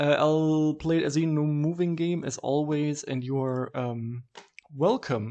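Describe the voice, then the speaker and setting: This voice carries a German accent. It moves along fairly slowly. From southwest Germany. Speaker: video game streamer. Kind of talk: casual game commentary. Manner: hesitant, many fillers.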